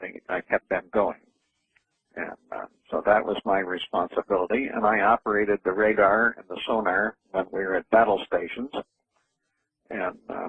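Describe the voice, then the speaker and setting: With long, frequent pauses, a man speaks at a moderate pace in a fairly low pitch and monotone, flat intonation. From New England, US (New Hampshire). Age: 80s+. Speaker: entrepreneur and author, navy veteran. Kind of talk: radio interview.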